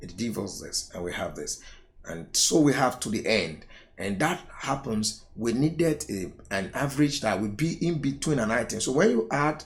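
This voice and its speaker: A somewhat breathy man at medium pitch and moderate pace, with very wide pitch swings and audible room echo. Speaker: accounting tutor. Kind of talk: lecture.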